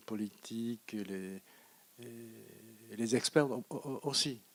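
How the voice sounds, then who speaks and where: On a very clean recording with a silent background, a man with a Japanese accent speaks at a medium pitch with fairly even intonation. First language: Japanese (speaking French). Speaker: economist lecturer. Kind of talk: Q&A after lecture. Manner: halting, many hesitations.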